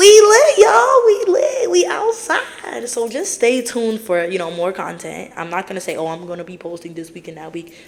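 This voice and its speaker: A woman talks at a moderate pace with hardly any pauses. Her loudness swings widely, and background noise is noticeable. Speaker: podcast host. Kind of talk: casual monologue.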